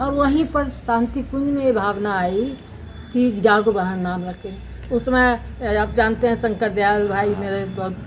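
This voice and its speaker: Noticeable background noise behind a woman's voice of medium pitch. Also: ordinary pitch variation. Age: 80s+. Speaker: women's rights activist. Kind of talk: interview.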